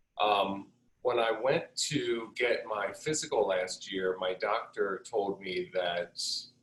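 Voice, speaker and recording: With lively intonation, a man speaks at a very slow pace in a fairly low pitch. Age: 60s. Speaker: hair salon owner, coaching client. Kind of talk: testimony. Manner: halting, many fillers.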